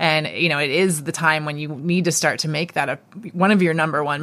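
A woman talks at a fairly quick pace with a fairly low pitch. It is a plain, everyday voice. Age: 40s. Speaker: fitness gym co-owner and endurance athlete. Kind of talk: interview. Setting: at a gym.

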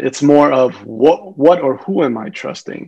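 With an American accent, a man talks at a moderate pace in a plain, everyday voice, pitched fairly high, with lively intonation. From US. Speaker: physician. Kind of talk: casual chat.

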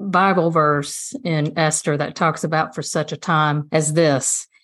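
With a Southern US accent, a woman speaks fairly slowly at a fairly low pitch against a quiet background. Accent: Southern US (Georgia). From US South, rural South Georgia (Dodge County). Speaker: state senator and lawyer, political candidate. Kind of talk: podcast interview.

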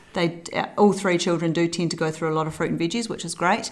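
A woman with a New Zealand accent speaks in a fairly low pitch with fairly even intonation. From New Zealand, South Island. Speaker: early childhood centre owner and mother. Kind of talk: casual interview. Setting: at a kitchen table.

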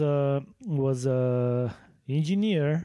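A man speaks with a Bulgarian accent at a medium pitch. His tone is dark and mellow. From Bulgaria (Sofia). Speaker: podcast co-host, fencing coach. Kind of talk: casual chat.

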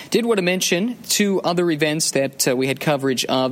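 Noticeable background noise sits behind a man talking. He keeps a moderate pace with ordinary pitch variation. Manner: fluent, building storyteller pace with rising drama toward the final-lap pass attempt.

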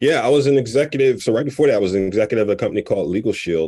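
A dark, mellow tone and lively intonation come through with an American accent in a very clean recording with a silent background. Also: man. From Philadelphia, US. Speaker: nonprofit founder, former corporate executive. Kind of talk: interview. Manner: laughs often.

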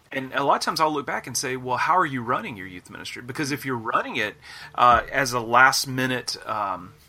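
In an Alabama accent, a man talks at a medium pitch. His tone is bright and sharp, with ordinary pitch variation. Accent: Southern US (Alabama). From US South, northeast Alabama. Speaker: youth minister and author. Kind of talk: casual interview. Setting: video call.

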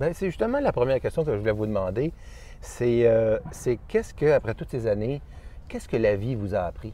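This man talks at a fairly quick pace, yet with long, frequent pauses. His pitch is medium and varies in an ordinary way. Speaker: interviewer. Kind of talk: interview. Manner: halting.

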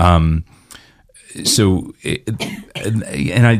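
This man's speech has ordinary pitch variation. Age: 50s. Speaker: musician and worship leader. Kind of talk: interview conversation. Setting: studio.

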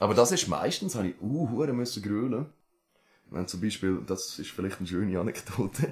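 A somewhat breathy man with an Aargau accent, fairly low pitch, lively intonation and a moderate pace. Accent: Aargau Swiss German dialect. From Switzerland, Aargau. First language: Swiss German (speaking German). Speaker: rapper. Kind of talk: casual chat.

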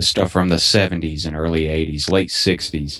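A man speaks with a Southern US accent and a very deep, low pitch. His intonation is fairly even, over a quiet background. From Alabama. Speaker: podcast co-host. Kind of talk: casual chat.

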